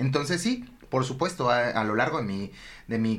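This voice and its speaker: At a moderate pace, a man talks at a medium pitch. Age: 30s. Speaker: psychologist and primary school director. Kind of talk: interview. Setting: studio. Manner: energetic.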